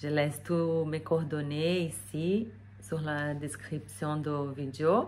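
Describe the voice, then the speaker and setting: A woman with a non-native accent, very deep and low in pitch, at a very slow pace, with audible room echo. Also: ordinary pitch variation. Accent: foreign accent in French. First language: not French (speaking French). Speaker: energy therapist. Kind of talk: casual vlog talk to camera. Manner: hesitant with many fillers.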